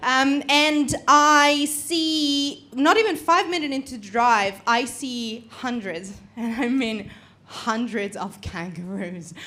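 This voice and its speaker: At a very slow pace, a woman with a high pitch uses lively intonation and big swings in loudness, with audible room echo around her. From Italy. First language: Italian. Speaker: comedian. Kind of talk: stand-up. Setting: stage with audience.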